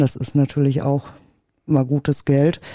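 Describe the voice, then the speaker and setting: A woman's very deep, low voice with a dark, mellow tone, in a dry, close sound with no echo. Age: 40s. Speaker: Christmas tree farmer. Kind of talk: casual chat. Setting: at a kitchen table, in a home.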